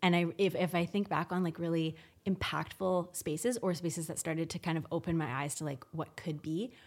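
An unremarkable speaking voice from a woman, fairly low in pitch with ordinary variation, at a moderate pace on a very clean recording with a silent background. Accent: Canadian. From Canada, Victoria BC. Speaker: interior designer. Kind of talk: casual interview chat.

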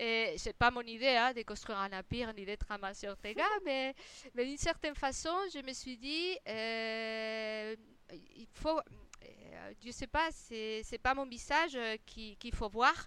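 With a Spanish accent, a woman speaks very slowly in a high pitch and a bright, sharp tone, her loudness swinging widely. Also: ordinary pitch variation. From Spain. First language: Spanish (speaking French). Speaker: interior designer. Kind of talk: interview. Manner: halting, many repetitions.

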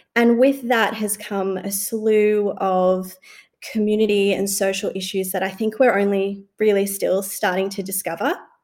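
A woman with an Australian accent, medium in pitch, in a monotone with flat intonation. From Australia, moved from Sri Lanka at age two. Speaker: lawyer and researcher. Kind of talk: casual chat. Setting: video call.

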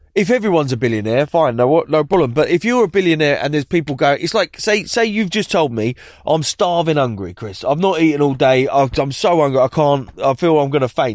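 A man with a normal speaking voice, at a fairly quick pace with hardly any pauses and lively intonation, in a very clean recording with a silent background. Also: fairly high pitch for a man. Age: 40s. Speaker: TV presenter and cookbook author. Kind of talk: casual chat.

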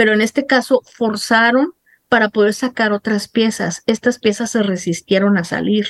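The recording has a dry, close sound with no echo, as a woman with a plain, everyday voice speaks at a fairly high pitch, a moderate pace and ordinary pitch variation. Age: 50s. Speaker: journalist sharing her dental ordeal. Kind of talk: interview testimony.

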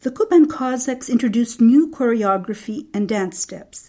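Somewhat breathy and fairly high-pitched, a woman talks at a moderate pace in a dark, mellow tone with ordinary pitch variation. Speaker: documentary narrator. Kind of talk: scripted narration.

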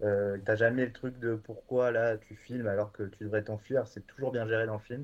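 Monotone and flat in intonation, a man of medium pitch talks at a moderate pace with hardly any pauses and big swings in loudness. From France, Bordeaux. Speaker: streaming platform programmer. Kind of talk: casual chat.

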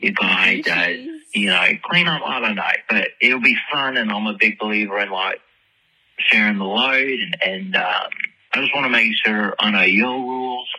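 With an American accent, a man speaks at a fairly slow pace in a fairly low pitch with ordinary pitch variation. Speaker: caller leaving voicemail messages for a podcast. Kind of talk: casual, chatty. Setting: phone voicemail.

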